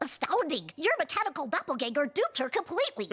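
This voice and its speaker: This cartoonish character voice races along at a very fast pace, high in pitch and swinging very widely up and down. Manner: precise, wordy.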